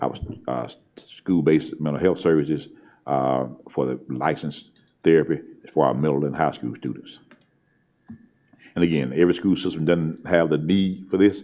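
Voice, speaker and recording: With vocal fry and a dark, mellow tone, a man speaks in a very deep, low pitch, leaving long, frequent pauses and swinging widely in loudness. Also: ordinary pitch variation. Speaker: school superintendent. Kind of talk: board meeting presentation. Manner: fast; halting, many fillers.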